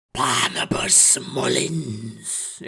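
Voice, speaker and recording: A man's raspy, hissing put-on character voice at a medium pitch. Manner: hissing, gleeful, menacing.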